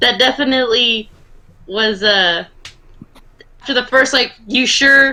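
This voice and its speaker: A woman speaks with a high pitch and ordinary pitch variation. Her tone is bright and sharp. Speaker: card game player. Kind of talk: casual chat.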